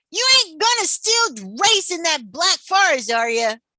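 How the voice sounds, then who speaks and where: A put-on character voice, squeaky and extremely high in pitch. It leaps through very wide pitch swings. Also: moderate pace. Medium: read story. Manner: folksy drawling.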